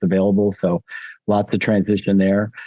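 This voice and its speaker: In a flat, monotone delivery, a man with a fairly low pitch and a dark, mellow tone speaks at a fairly quick pace, the sound dry and close with no echo against a quiet background. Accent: American. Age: 60s. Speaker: former counselor, podcast guest. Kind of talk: interview.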